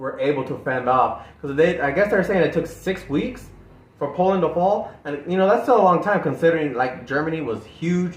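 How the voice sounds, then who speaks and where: A man at a fairly quick pace, lively in intonation, with audible room echo. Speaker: music reaction youtuber. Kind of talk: casual chat. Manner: halting.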